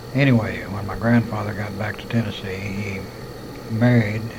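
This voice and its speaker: With an American accent, a man speaks at a moderate pace, his fairly low pitch held in fairly even intonation, amid noticeable background noise and audible room echo. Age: 50s. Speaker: war veteran telling life story. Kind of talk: autobiographical monologue recorded on tape. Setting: hospital room.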